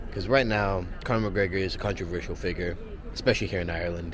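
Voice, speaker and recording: Through audible room echo and noticeable background noise, a man speaks at a very deep, low pitch with fairly even intonation. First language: Spanish. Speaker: travel vlogger. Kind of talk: casual vlog talk to camera. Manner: rambling, many fillers.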